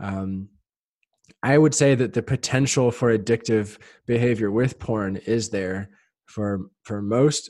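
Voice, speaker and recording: A man's normal speaking voice with ordinary pitch variation over a quiet background. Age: 30s. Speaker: sex coach. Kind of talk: casual chat.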